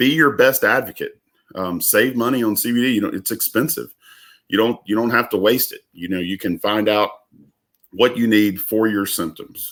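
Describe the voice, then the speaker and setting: Ordinary pitch variation in a Southern US accent, on a very clean recording with a silent background. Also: man, medium pitch for a man. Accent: Southern drawl. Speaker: business owner. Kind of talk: casual chat. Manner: halting.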